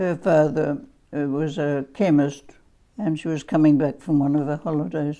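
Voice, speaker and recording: A woman with an Australian accent, a very deep, low pitch, a dark, mellow tone, ordinary pitch variation and a moderate pace. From South Australia, Adelaide. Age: 80s+. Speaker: family history interviewee. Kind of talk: oral history interview. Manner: halting.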